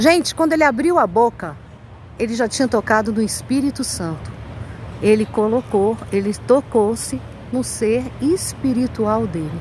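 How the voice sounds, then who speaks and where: With a plain, everyday voice, a woman speaks fairly high and at a fairly slow pace, her intonation lively. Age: 60s. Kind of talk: testimony. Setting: outdoors walking her dog.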